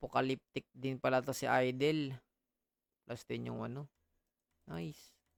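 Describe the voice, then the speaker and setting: At a fairly slow pace with long, frequent pauses, a man speaks in a dry, close sound with no echo. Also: medium pitch for a man, ordinary pitch variation. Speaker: gaming streamer. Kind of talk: casual gaming stream chat.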